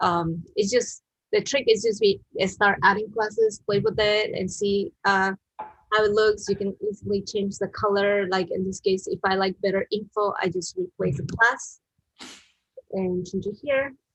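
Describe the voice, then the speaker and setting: A woman speaks at medium pitch and a moderate pace, somewhat breathy, with fairly even intonation. The sound is dry and close, with no echo. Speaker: web design instructor. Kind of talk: live-streamed coding tutorial. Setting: live stream. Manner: halting, with many fillers.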